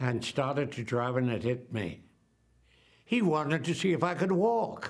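A fairly high-pitched man at a moderate pace, with very wide pitch swings and a quiet background. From New Jersey. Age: 80s+. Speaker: actor. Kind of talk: interview answer. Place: home room.

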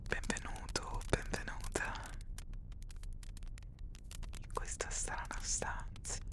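A soft-spoken man whispers at a very slow pace. The sound is dry with no echo, with noticeable background noise. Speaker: ASMR storyteller. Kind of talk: soft-spoken roleplay storytelling. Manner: soft intimate ASMR whisper. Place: home room. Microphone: studio mic.

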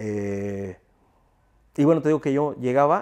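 The background is silent apart from the voice. A man talks there with lively intonation. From Mexico. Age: 40s. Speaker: sound system owner; interviewee. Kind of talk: interview. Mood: relaxed, reminiscing. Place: home room.

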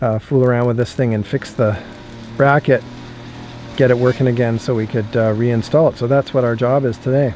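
At a fairly quick pace, a man speaks in a flat monotone, the sound dry with no echo and light background noise behind it. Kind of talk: casual DIY vlog explanation. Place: street. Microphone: phone near.

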